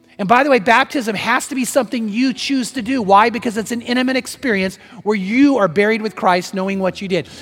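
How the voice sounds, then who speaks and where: Pitched high for a man, his animated tone moves at a fairly quick pace. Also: ordinary pitch variation. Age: 60s. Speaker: pastor. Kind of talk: sermon. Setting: church.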